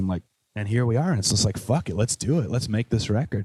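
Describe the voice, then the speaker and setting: A man speaks in a Chicago accent with a dark, mellow tone. The sound is dry and close, with no echo. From US Midwest, Chicago. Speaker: musician and radio host. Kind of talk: casual interview chat. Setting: coffee shop.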